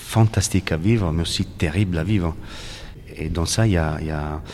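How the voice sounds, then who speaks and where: A slight Italian accent, fairly slow pace and fairly even intonation over noticeable background noise. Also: man. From Italy, Naples. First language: Italian (speaking French). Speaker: painter. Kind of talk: interview. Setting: art gallery. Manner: halting, many repetitions.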